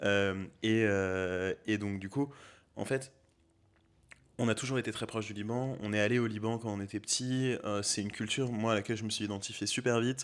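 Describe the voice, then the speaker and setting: Fairly low-pitched and fairly even in intonation, a man talks at a moderate speed on a very clean recording with a silent background. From France, Beaujolais (Villefranche). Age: 20s. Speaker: aspiring restaurant owner. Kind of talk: casual interview. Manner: hesitant, many fillers.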